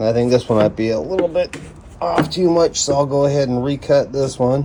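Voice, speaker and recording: A man's fairly high-pitched voice comes through with noticeable background noise behind it. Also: ordinary pitch variation. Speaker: woodworking hobbyist. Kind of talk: tutorial. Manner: casual, thinking aloud.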